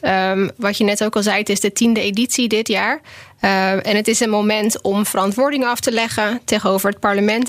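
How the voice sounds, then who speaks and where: A woman with a plain, everyday voice, fairly high pitch, fairly even intonation and a fairly quick pace. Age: 30s. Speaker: policy researcher. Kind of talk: casual chat. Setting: studio.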